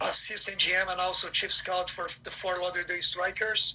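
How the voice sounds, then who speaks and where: A man speaks at a high pitch and a moderate pace. Noticeable background noise can be heard. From Brazil. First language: Portuguese. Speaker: football scout. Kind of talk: livestream interview. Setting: Instagram livestream. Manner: many fillers and repeats.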